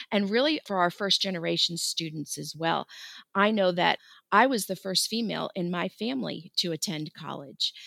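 In a very clean recording with a silent background and a dry, close sound with no echo, a woman with an American accent speaks at a moderate pace, her fairly low pitch paired with a bright, sharp tone. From Florida. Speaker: school counselor. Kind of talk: interview.

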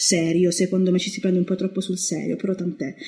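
The speech comes at a very fast pace and sounds somewhat breathy. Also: woman. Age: 20s. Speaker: horror film writer. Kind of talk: casual chat.

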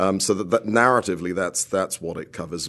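A man's fairly low-pitched voice with a British accent. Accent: British accent, noticeable. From United Kingdom. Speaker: composer. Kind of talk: radio interview. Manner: halting, many repetitions and fillers.

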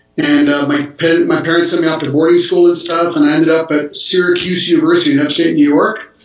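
Over noticeable background noise, a man speaks at a fairly quick pace, his fairly high pitch delivered with monotone, flat intonation. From Geneva area, Switzerland/France border. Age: 60s. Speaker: pastor. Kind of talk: casual chat.

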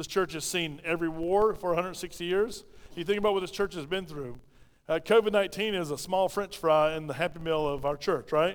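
A man's voice, high in pitch, with ordinary variation in pitch. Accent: South Carolina. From South Carolina (Pauline). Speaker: pastor. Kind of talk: sermon. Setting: church. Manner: fast talker; mumbles, clips words.

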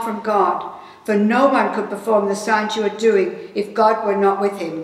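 Speaking at a moderate pace in an Australian accent, a woman with a fairly high voice is heard with audible room echo and noticeable background noise. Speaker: scripture reader. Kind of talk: reading aloud. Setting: church sanctuary, remote.

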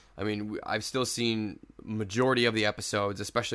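Over a silent background in a very clean recording, a man with a fairly low pitch talks at a very fast pace in a flat monotone. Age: 30s. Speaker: podcast host. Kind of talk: casual chat.

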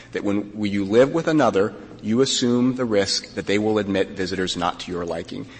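Over noticeable background noise, a man with a fairly low pitch speaks at a fairly quick pace with ordinary pitch variation. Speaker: lawyer arguing before a court. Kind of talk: oral argument. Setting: courtroom.

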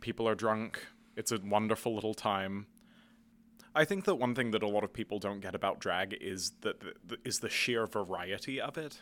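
On a very clean recording with a silent background, a man with a British accent speaks at a fairly low pitch. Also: ordinary pitch variation, moderate pace. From UK. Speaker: theater student and performer. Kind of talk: interview.

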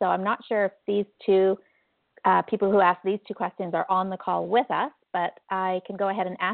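In an unremarkable speaking voice, a woman talks at a moderate pace. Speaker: support coach. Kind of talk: live coaching Q&A call. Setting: phone call.

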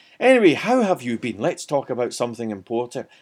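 A man's voice moves in very wide pitch swings. The recording is very clean with a silent background. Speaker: talk show host. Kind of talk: casual monologue. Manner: chatty, laughs often.

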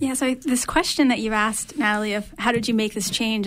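With noticeable background noise, a woman speaks at a very fast pace in a fairly high pitch, her intonation fairly even. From Maine. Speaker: university researcher. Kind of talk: radio interview.

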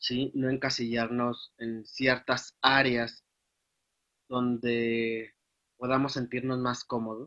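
A man speaks in a flat monotone. His pace is very slow. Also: medium pitch for a man. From Guadalajara, Jalisco, Mexico. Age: 20s. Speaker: accounting student. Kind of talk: interview. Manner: halting, many fillers.

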